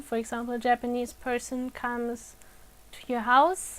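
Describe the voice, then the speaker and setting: The speaker has a non-native accent and a fairly slow pace. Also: woman. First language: non-native English speaker. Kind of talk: educational talk to camera.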